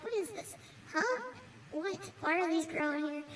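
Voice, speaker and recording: A woman's squeaky put-on character voice at an extremely high pitch, lively intonation and a moderate pace over light background noise. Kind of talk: comic mock-serious vlog narration. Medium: machinima. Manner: deadpan, rambling.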